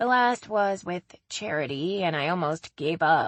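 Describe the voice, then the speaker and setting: Putting on a raspy character voice, a woman speaks at a moderate pace with a fairly low pitch. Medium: read story. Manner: lively, talkative.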